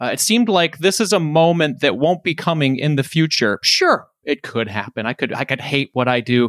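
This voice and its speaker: Recorded very cleanly against a silent background with a dry, close sound and no echo, a man with an unremarkable speaking voice and an American accent talks at a moderate pace in a fairly high pitch, with lively intonation and hardly any pauses. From Detroit, Michigan. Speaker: personal finance podcaster. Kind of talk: casual interview.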